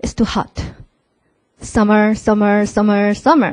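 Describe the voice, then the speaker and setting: A woman with a Korean accent talks at a moderate pace, the sound dry and close with no echo. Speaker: MBA alumnus presenter. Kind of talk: presentation to prospective students. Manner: casual, interactive.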